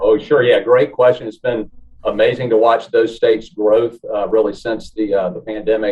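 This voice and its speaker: In a Southern US accent, a man speaks at a moderate pace. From US South. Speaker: real estate development executive. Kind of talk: interview. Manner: hesitant, many filler words.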